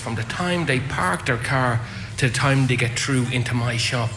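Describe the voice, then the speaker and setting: Speech at a fairly quick pace carries audible room echo, with music in the background. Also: man. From Dublin, Ireland. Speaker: airport retail manager. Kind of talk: live radio interview. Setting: outside broadcast at airport arrivals hall.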